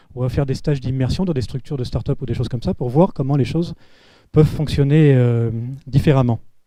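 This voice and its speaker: Very fast speech from a man at medium pitch, dark and mellow in tone, with ordinary pitch variation. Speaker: panel speaker on public digital innovation. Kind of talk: round-table talk. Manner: hesitant with filler words.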